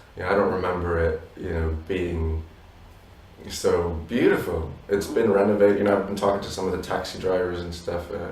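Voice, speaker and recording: Amid audible room echo, a man with a very deep, low pitch speaks in a monotone at a fairly quick pace. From Polish family abroad, not Poland. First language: Polish. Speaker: musician in a duo. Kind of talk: interview.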